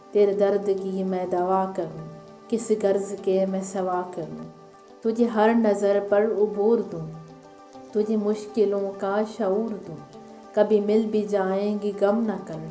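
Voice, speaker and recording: Over music in the background, a woman speaks at a medium pitch in a flat, monotone way, her loudness swinging widely. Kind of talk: poetry reading.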